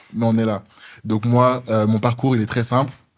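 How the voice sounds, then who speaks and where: Fairly quick, monotone delivery with flat intonation on a very clean recording over a silent background. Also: man. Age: 20s. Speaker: podcast host, student. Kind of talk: casual podcast chat.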